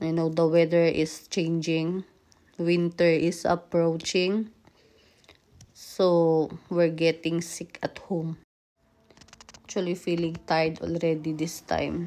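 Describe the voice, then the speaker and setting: A woman with a fairly low pitch speaks at a very slow pace in a monotone, flat intonation, leaving long, frequent pauses. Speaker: vlogger. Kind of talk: casual vlog chat. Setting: at home.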